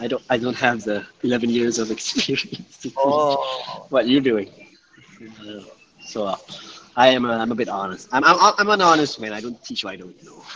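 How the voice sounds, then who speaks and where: The speaker has a Malaysian accent and talks at a moderate pace with ordinary pitch variation. Loudness swings widely, and there is noticeable background noise. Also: man, medium pitch for a man. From Johor, Malaysia. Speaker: part-time English teacher. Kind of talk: casual chat.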